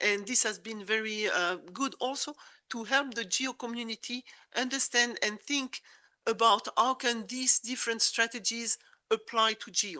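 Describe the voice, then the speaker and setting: With a bright, sharp tone and a fairly high pitch, a woman talks with ordinary pitch variation in a dry, close sound with no echo. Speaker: conference presenter. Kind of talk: conference presentation. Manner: fast; halting.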